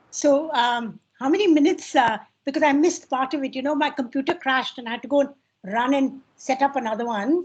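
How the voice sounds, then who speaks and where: A woman's high pitch with ordinary pitch variation against a quiet background. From India, Delhi. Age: 70s. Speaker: professor, historian. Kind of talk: panel discussion.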